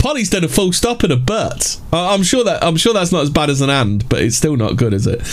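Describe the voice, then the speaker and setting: A man with a British accent at a fairly high pitch and a fairly quick pace, very wide pitch swings, very even loudness and hardly any pauses, over noticeable background noise. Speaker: livestream host. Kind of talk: casual banter on a livestream, with reading aloud of articles. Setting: live stream with chat. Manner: profane, joking.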